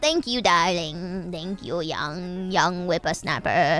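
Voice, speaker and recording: A woman of medium pitch puts on a character voice at a fairly slow pace, with faint music in the background. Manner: sweet, affectionate.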